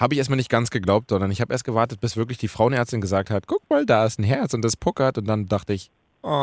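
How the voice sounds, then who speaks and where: A man at a very fast pace, medium pitch and fairly even intonation, with a dry, close sound, no echo and a very clean, silent background. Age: 20s. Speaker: radio podcast host. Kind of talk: casual chat.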